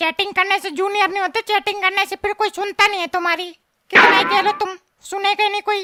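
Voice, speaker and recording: This cartoonish character voice sits extremely high in pitch and moves at a fairly quick pace. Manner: grumbling, scornful.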